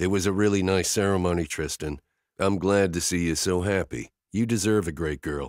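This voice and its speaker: In a gruff put-on character voice, a man speaks at a moderate pace with a very deep, low pitch, the sound dry and close with no echo. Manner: choked-up.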